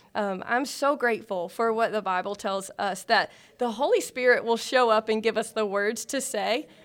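On a very clean recording with a silent background, a woman with a plain, everyday voice speaks at a moderate pace in a fairly high pitch with ordinary pitch variation. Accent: American. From South Carolina. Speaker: ministry leader. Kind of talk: interview.

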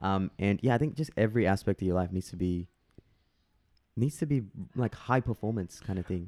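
With an Australian accent, a man speaks at a fairly quick pace in a fairly low pitch and a dark, mellow tone, with ordinary pitch variation, long, frequent pauses, and a dry, close sound with no echo. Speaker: guest. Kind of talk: casual chat.

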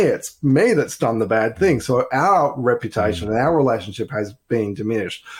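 Lively intonation and an enthusiastic tone mark this voice with an Australian accent. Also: man. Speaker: business networking director. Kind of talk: interview.

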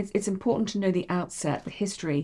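Recorded very cleanly against a silent background, the voice has a dark, mellow tone with vocal fry and moves at a fairly quick pace. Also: woman. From Bahrain. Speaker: interior designer. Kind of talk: interview. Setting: her home.

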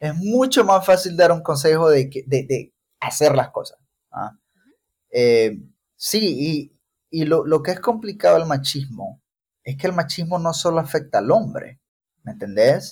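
Speaking at a fairly slow pace, a man leaves long, frequent pauses. His fairly high voice has lively intonation. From El Salvador, Chalatenango. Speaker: mechanical engineer and military reservist. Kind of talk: casual conversation.

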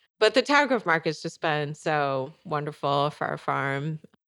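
A woman with an American accent speaks at a moderate pace, her very deep, low pitch marked by vocal fry. The recording is very clean, with a silent background. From Michigan. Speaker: organic farmer. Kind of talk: interview.

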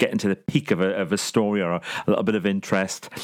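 The speaker talks at a fairly quick pace in a northeast English accent. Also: man. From northern England, Consett, County Durham. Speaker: professional speaker and life coach. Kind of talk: interview.

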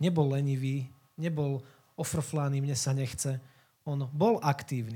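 At a fairly slow pace, a man speaks in a somewhat breathy voice with a fairly high pitch and a dark, mellow tone. The recording is very clean, with a silent background. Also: fairly even intonation. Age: 20s. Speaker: youth worker and lay preacher. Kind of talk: sermon.

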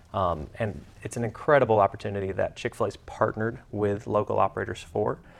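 This man talks at a very fast pace with an Alabama accent. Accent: Southern US (Alabama). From US South. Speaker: restaurant operator. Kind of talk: casual interview.

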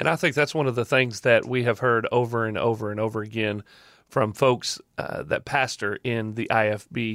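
Heard on a very clean recording against a silent background, a man speaks at a medium pitch in a Southern US accent. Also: ordinary pitch variation, moderate pace. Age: 30s. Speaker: podcast host. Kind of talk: casual chat.

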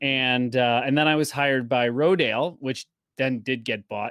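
A man speaks with an American accent in an ordinary speaking voice at a moderate pace. The recording is very clean, with a silent background. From upstate New York. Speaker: video marketing expert. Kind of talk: interview.

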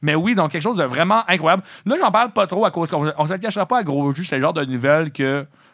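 This man's voice sits fairly high and races along at a very fast pace. His intonation is lively, and the background is quiet. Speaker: college radio host. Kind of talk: casual chat. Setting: radio studio.

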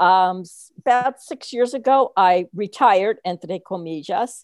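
Dry and close with no echo, a woman with an American accent speaks at a medium pitch in an ordinary speaking voice. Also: quiet background. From New Jersey. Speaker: retired teacher and education consultant. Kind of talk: casual interview.

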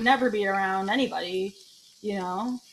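Somewhat breathy, a woman speaks with an American accent and lively intonation. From Michigan, Detroit area. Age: 30s. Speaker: comedian. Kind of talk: casual chat.

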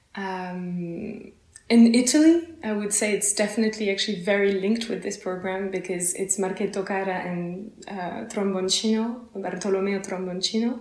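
A woman with a French accent talks at medium pitch and a moderate pace, with hardly any pauses. Audible room echo and noticeable background noise fill the recording. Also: ordinary pitch variation. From France, near Paris. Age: young. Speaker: lutenist and singer. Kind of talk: interview.

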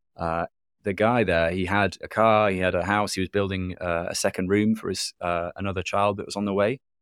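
A man with a British accent speaks at a fairly quick pace in a fairly low, monotone voice, in a very clean, dry, close recording with no echo and a silent background. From UK. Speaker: documentary filmmaker and Bitcoin advocate. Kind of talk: interview. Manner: hesitant with fillers.

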